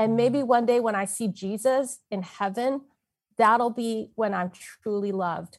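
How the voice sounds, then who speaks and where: A woman's fairly high-pitched, fairly slow delivery with an American accent, a plain, everyday voice, and a quiet background. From US West Coast, San Francisco. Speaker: author and inspirational speaker. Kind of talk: personal testimony.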